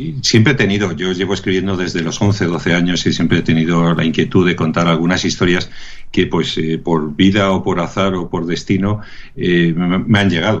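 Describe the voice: A man talks at a low pitch. His intonation stays fairly even. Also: moderate pace, few pauses.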